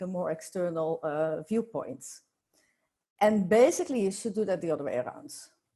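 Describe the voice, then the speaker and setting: A woman speaks with a Dutch accent at a moderate pace. Her tone is dark and mellow. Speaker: workplace culture consultant. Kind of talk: podcast interview. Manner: halting.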